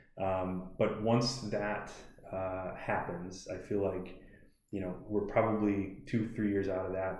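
Somewhat breathy and dark, mellow in tone, the voice speaks at a fairly slow pace with an American accent amid audible room echo. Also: man. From US Midwest, Milwaukee area. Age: 30s. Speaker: CBD shop owner. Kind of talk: podcast interview.

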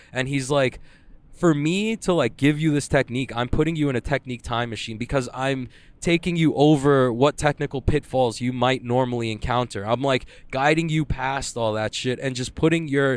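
A man with a normal speaking voice talks at medium pitch and a moderate pace, with ordinary pitch variation, in a dry, close sound with no echo on a very clean recording with a silent background. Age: 20s. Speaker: jiu-jitsu competitor. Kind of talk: casual solo monologue. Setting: in a car. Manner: casual, filler-heavy.

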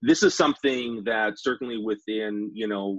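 This man's voice sits at a fairly low pitch with fairly even intonation. He speaks with a Western Canadian accent. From Saskatchewan, Western Canada. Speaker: public sector digital leadership director. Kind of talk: podcast interview. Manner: halting, many fillers.

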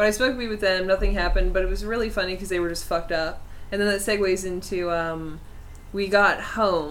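Amid audible room echo, a woman speaks very fast at a medium pitch with fairly even intonation. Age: 20s. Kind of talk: casual chat.

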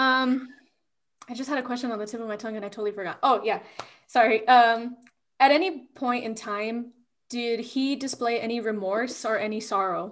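In an unremarkable speaking voice, a woman with an American accent talks at a moderate pace, her pitch fairly high and her intonation fairly even. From Texas, El Paso. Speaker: podcast host. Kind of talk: interview.

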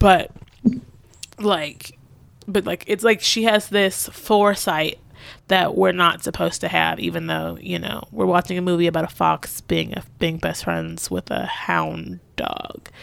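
A woman with an American accent at a fairly slow pace, on a very clean recording with a silent background. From Southeast Texas. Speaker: podcaster. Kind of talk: interview. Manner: casual, filler-heavy.

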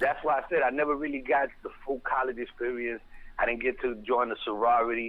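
At a fairly quick pace, a man with an American accent talks at a medium pitch with fairly even intonation. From New York City (the Bronx). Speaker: hip hop marketing executive. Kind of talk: casual interview. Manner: talkative.

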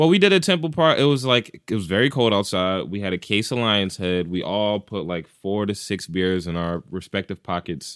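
A man with a normal speaking voice and a fairly low pitch talks at a moderate pace with lively intonation and hardly any pauses. The recording is very clean, with a silent background and a dry, close sound with no echo. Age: young. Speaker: podcast host. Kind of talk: casual chat. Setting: studio.

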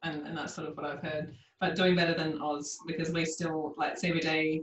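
A woman with an Australian accent speaks at a fairly low pitch. Her intonation is monotone and flat. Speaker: naturopath podcast host. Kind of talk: interview.

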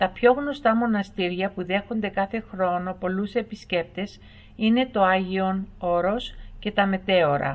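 A woman's medium-pitched, normal speaking voice, with ordinary pitch variation and a fairly slow pace. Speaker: voice-over narrator. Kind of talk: documentary-style educational narration, read aloud. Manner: even, measured, formal, clear pacing.

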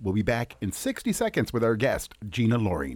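In a very clean recording with a silent background, a man sounds upbeat, his voice swinging very widely in pitch and showing vocal fry. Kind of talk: radio DJ patter: brisk song intros, sign-offs and repeated station IDs. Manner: upbeat, polished, friendly, rhythmic catchphrase delivery.

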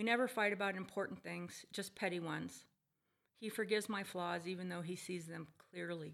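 A woman speaks with a plain, everyday voice at a medium pitch and a fairly quick pace. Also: fairly even intonation. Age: 50s. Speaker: retired psychologist and hospice patient. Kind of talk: prepared monologue; casual interview conversation. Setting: at home.

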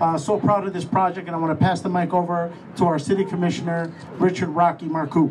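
Over noticeable background noise, the speaker rushes at a very fast pace in a monotone, flat intonation. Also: man, high pitch for a man. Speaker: alderman. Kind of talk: speech at public event. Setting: stage with audience.

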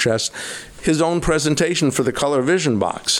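Ordinary pitch variation marks the speech of a man with an American accent. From New York, US. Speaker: magician and retired lawyer. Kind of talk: casual interview. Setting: at his home.

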